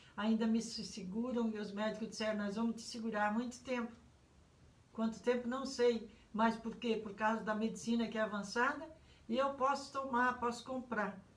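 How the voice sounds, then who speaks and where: In a room with audible echo, a woman talks with a monotone, flat intonation. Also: fairly high pitch for a woman, moderate pace. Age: 70s. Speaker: pastor. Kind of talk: sermon. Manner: halting.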